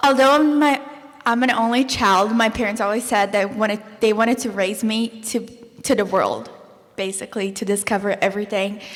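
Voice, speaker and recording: Through noticeable background noise, a woman speaks at a moderate pace in a fairly high pitch with fairly even intonation. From Brazil. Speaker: former exchange student, college student. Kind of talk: panel discussion.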